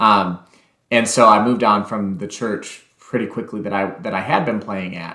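A man speaks with an American accent against a quiet background, with audible echo in the room. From Texas. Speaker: pianist and piano teacher; piano teacher. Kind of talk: casual interview. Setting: remote call. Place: home room.

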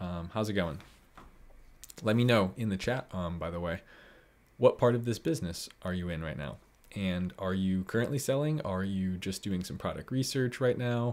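A man speaks with fairly low pitch. His intonation is lively. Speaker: online seller hosting a live stream. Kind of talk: live stream tutorial chat. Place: home room.

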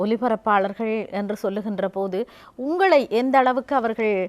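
A woman speaks in a plain, everyday voice at a fairly high pitch. Her intonation is fairly even and the sound is dry and close with no echo. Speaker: TV magazine show host. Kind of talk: interview.

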